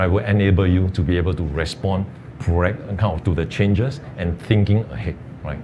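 A man talks fairly quickly in a fairly low voice. Background noise is noticeable. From Singapore. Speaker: tax professional, alumnus; panelist. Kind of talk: webinar panel talk. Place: studio. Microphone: lapel.

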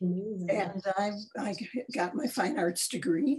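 This woman has a medium-pitched, dark and mellow voice that is somewhat breathy, with an American accent. Her intonation is lively, and the background is quiet. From Chicago, US Midwest. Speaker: artist and art educator; art educator. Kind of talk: interview. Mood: warm, reflective. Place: home room. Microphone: video call.

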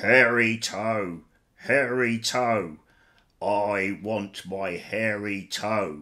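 In a put-on character voice, a man rumbles at a fairly low pitch. He speaks at a very slow pace. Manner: eerie, menacing.

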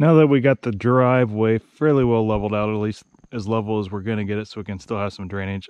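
A man's unremarkable speaking voice, fairly low in pitch, at a fairly quick pace, with a dry sound and no echo. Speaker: homeowner vlogger. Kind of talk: casual vlog chat. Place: forest.

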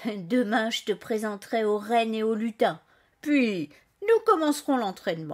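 This woman's voice sits fairly high, with ordinary pitch variation. She speaks at a fairly slow pace. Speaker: storyteller and author. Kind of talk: bedtime story telling, scripted narration read aloud to children. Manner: gentle, soft, warm storyteller voice, expressive and animated with character dialogue.

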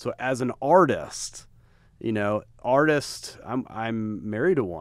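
A man with an American accent talks at a very slow pace in a dry sound with no echo and a quiet background. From Texas. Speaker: podcast host and apparel brand co-founder; podcast host. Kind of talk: casual chat. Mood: warm, complimentary. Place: meeting room. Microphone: studio mic.

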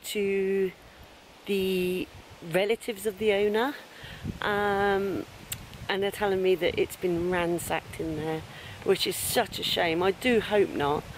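A woman speaks at a fairly slow pace, with long, frequent pauses and ordinary pitch variation. The sound is dry with no echo, with light background noise. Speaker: urban explorer vlogger. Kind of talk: casual vlog chat. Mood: cheerful, smiling. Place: forest. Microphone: phone near.

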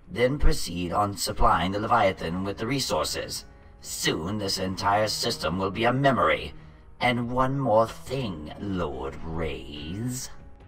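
Clear background noise behind a man's fairly low voice at a fairly slow pace. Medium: machinima. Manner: imperious, menacing, scornful.

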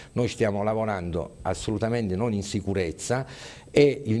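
Fairly low in pitch with ordinary pitch variation, a man talks in a dark, mellow tone. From Abruzzo, Italy (Chieti); Abruzzo, Italy. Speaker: hospital doctor, union representative; conference speaker. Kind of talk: press statement. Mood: concerned, critical. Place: meeting room. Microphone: handheld.

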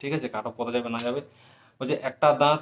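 This man has a normal speaking voice. His intonation is fairly even. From West Bengal, Jhargram. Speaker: YouTuber answering exam aspirants' questions. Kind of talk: casual Q&A monologue.

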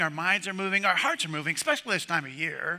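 Over a quiet background, a man talks at a fairly quick pace. His tone is bright and sharp. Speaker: pastor. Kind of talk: sermon. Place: church.

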